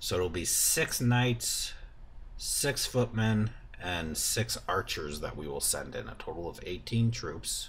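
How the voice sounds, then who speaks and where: Someone speaks at a very slow pace over light background noise. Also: man. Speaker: gamer. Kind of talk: gameplay commentary.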